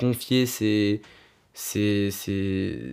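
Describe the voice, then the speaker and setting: A man with ordinary pitch variation, on a very clean recording with a silent background. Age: 20s. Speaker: illustrator. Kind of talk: interview. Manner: halting, many hesitations.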